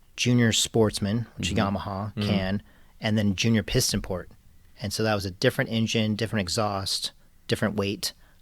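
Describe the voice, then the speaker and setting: A man talks at a moderate pace in a fairly low, flat monotone. The recording is very clean, with a silent background. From Southern California. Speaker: karting tuner. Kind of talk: interview answer. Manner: soft-spoken.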